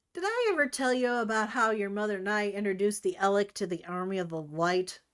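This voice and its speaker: The delivery is a raspy, put-on character voice. It races along at a very fast pace. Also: woman, medium pitch for a woman. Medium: read story.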